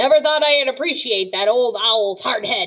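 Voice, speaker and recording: A put-on character voice, growling and gruff, at a moderate pace. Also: woman. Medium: read story. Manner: gruff, growling.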